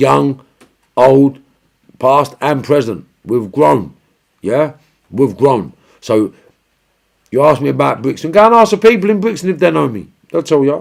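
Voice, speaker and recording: A man's fairly high voice with vocal fry and a Cockney accent, animated in tone, swinging very widely in pitch at a fairly slow pace with long, frequent pauses. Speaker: livestream host answering viewer questions. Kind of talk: casual livestream chat reading comments.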